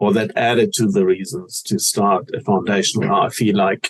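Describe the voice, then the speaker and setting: A man talks at a moderate pace with a German accent. His loudness stays very even. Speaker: cancer awareness foundation founder. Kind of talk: interview.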